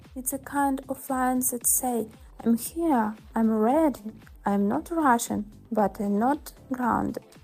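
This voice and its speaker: Music plays in the background as a woman speaks. Her pitch is fairly high and her pace very slow. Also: ordinary pitch variation. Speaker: model and lifestyle creator. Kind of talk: ASMR makeup tutorial talk. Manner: soft-spoken, calm.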